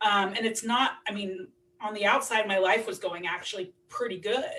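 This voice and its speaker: A woman speaks loudly with a bright, sharp tone. Her pace is moderate. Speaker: recovering alcoholic, single mother. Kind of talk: podcast interview.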